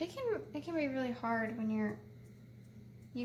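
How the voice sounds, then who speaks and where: A woman speaks softly at a moderate pace. Noticeable background noise runs underneath. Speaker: painting tutorial host. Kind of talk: tutorial. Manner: soft-spoken.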